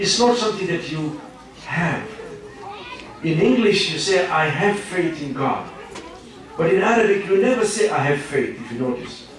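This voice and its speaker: With an East African accent, a man speaks at a moderate pace and a high pitch with lively intonation and long, frequent pauses, amid noticeable background noise and audible room echo. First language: Swahili. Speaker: professor, Islamic lecturer. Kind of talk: lecture. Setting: Islamic centre, audience.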